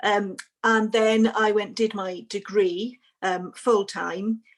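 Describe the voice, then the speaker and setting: Speaking at a medium pitch with fairly even intonation, a woman has a Welsh accent. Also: very clean recording, silent background. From Wales. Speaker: barrister. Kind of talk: panel discussion.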